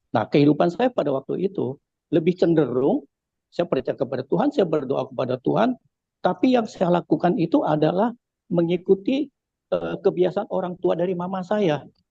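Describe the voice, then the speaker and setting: In a dry, close sound with no echo, a man with a high pitch and a dark, mellow tone speaks fairly quickly with very wide pitch swings. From Indonesia, Jakarta (Chinese-Betawi). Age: 70s. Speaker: church testimony giver. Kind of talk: testimony. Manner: halting, many fillers.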